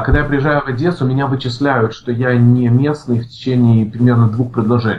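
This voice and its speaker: Fairly quick and somewhat breathy, a man talks at a medium pitch. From Ukraine, Odesa. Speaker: IT department head. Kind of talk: interview. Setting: remote call.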